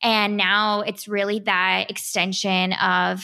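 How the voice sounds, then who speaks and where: With a bright, sharp tone and an American accent, a woman speaks in a very clean recording with a silent background. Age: 20s. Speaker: podcast host. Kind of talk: casual chat. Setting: podcast recording.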